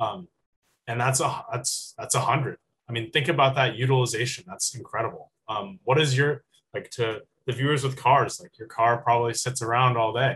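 A man with an American accent and an ordinary speaking voice, medium pitch, fairly even intonation, a moderate pace and big swings in loudness. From California, San Francisco Bay Area. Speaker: university student. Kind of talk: student presentation.

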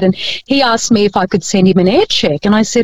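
In an Australian accent, a woman talks at a fairly quick pace, her sound dry and close with no echo. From Philippines.

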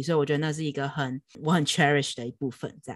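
Recorded very cleanly against a silent background, a woman speaks at a very deep, low pitch with ordinary pitch variation. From Taiwan. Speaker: film director and video editor. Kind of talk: interview. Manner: code-switching with English words.

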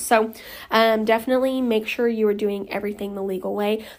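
A woman with an American accent speaks at a medium pitch and a fairly quick pace. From Oklahoma. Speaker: lash studio owner and educator. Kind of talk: solo podcast tutorial. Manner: casual, filler-heavy.

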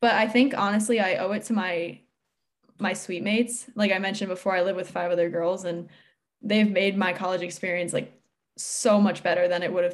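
Using a normal speaking voice with an American accent, a woman speaks at a fairly quick pace with a medium pitch and fairly even intonation. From Connecticut, US. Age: young. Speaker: college student athlete. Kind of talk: interview.

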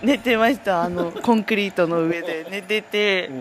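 Noticeable background noise around a woman talking at a moderate pace. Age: 20s. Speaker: dairy herd testing technician. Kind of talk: casual chat. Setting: outdoors near a cowshed.

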